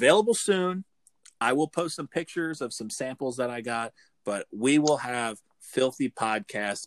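A man with an American accent, medium pitch and lively intonation at a fairly slow pace, in a very clean, dry, close recording with no echo and a silent background. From New Jersey. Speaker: podcast host. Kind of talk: casual comedic chat, crude humor. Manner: joking, irreverent, animated.

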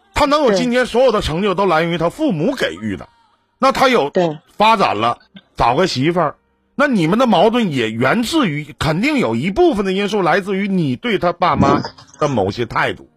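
A man with a high pitch speaks at a moderate pace, his voice making very wide pitch swings. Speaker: live-stream relationship advice host. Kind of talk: advice call-in conversation. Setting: live stream video call. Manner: lively, joking, direct.

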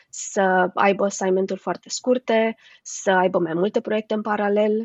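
Using a normal speaking voice, a woman talks at a moderate pace and a fairly high pitch. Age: 30s. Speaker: HR manager and coach. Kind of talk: interview.

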